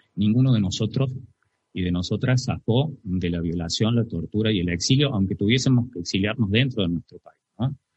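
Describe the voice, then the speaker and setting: A man speaks at a moderate pace in a fairly low, somewhat breathy voice, with big swings in loudness. The sound is dry and close, with no echo. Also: ordinary pitch variation. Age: 40s. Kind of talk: testimony. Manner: halting.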